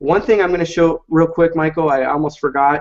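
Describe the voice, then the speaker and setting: Fairly high pitch from a man, delivered at a moderate pace. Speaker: software presenter. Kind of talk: webinar product demo. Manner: hesitant with fillers.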